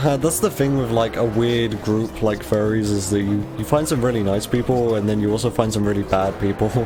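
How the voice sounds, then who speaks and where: A man's fairly low voice in an English accent, with hardly any pauses, music in the background and audible room echo. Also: ordinary pitch variation, fairly quick pace. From England. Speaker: video game streamer. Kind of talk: casual live-stream chat. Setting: live stream.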